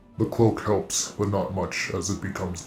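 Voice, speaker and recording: Someone speaks in a put-on character voice at a moderate pace. There is a slight echo. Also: man, fairly low pitch for a man. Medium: actual play. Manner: formal, archaic phrasing.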